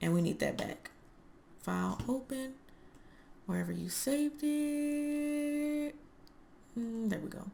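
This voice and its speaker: A woman's high-pitched voice at a very slow pace, ordinary pitch variation, long and frequent pauses, and noticeable background noise. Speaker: sims custom content creator. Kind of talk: tutorial. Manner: casual, conversational.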